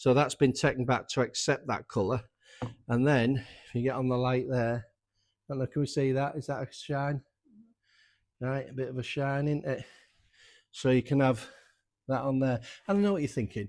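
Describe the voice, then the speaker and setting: With a North Yorkshire accent, a man speaks in a medium pitch with fairly even intonation and long, frequent pauses, on a very clean recording with a silent background. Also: moderate pace. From North Yorkshire, England. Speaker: motorcycle restorer and workshop owner. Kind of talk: workshop tutorial. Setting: workshop. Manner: casual, conversational.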